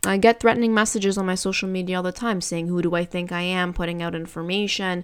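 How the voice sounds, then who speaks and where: The speaker moves at a fairly quick pace. This is an ordinary speaking voice. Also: woman. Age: 20s. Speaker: real estate agent and podcast host. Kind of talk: solo Q&A monologue.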